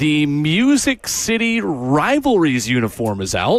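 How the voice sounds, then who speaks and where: His voice sits fairly high for a man. The pitch swings very widely as he speaks. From Middle Tennessee. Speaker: sports radio host. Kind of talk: sports talk radio.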